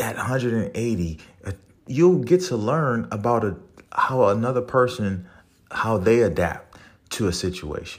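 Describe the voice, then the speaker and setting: Speaking with a New Orleans accent, a man uses an animated tone and lively intonation at medium pitch and a moderate pace. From New Orleans, Louisiana. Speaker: podcast host, Marine Corps veteran. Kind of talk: motivational monologue. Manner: animated, motivational.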